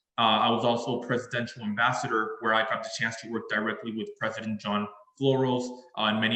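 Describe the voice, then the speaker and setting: In a Spanish accent, the speaker talks at a fairly quick pace with monotone, flat intonation over noticeable background noise. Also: man. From Mexico, Monterrey. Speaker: engineering alumnus speaker. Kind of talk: presentation. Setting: video call.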